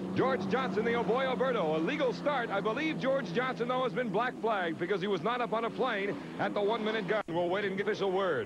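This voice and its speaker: A man talks at a very fast pace with ordinary pitch variation, in a dry sound with no echo but noticeable background noise. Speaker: race commentator. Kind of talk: commentary. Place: stadium.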